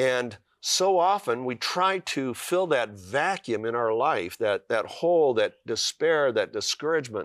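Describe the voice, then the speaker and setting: This man talks at a fairly slow pace with a fairly high voice and very wide pitch swings. The sound is dry and close with no echo, on a very clean recording with a silent background. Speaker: author.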